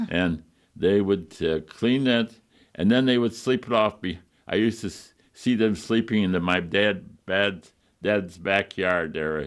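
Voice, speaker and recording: Against a quiet background, a man with an upstate New York accent speaks fairly low and fairly slowly, with ordinary pitch variation. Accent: upstate New York American. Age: 90s. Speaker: retired doctor reminiscing. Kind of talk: interview reminiscence. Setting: TV talk show. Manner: halting with many fillers.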